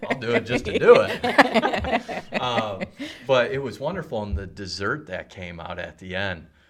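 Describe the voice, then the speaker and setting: A man speaks at a fairly slow pace, his loudness swinging widely. Noticeable background noise sits behind him. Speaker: radio show host. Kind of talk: casual interview chat. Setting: studio.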